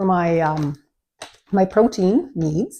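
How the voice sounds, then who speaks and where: A woman with a Canadian accent speaks at medium pitch with lively intonation. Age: 60s. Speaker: lifestyle vlogger. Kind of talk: product review vlog. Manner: casual, hesitant with many fillers.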